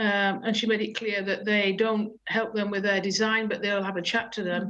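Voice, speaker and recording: At a moderate pace, a woman talks with a fairly high pitch in an ordinary speaking voice. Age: 60s. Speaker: councillor. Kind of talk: public meeting briefing. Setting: video call.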